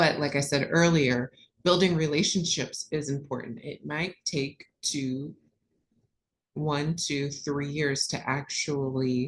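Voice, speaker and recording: A woman with an American accent speaks at a very slow pace. Her very deep, low pitch stays on a fairly even intonation. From US Midwest, Columbus Ohio. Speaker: corporate procurement manager. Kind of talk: webinar presentation.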